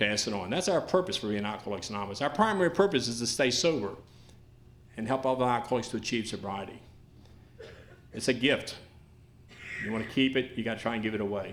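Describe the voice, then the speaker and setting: Amid audible room echo, a medium-pitched man speaks at a very fast pace with lively intonation and long, frequent pauses. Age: 60s. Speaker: recovery speaker. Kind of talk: testimony. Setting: stage with audience.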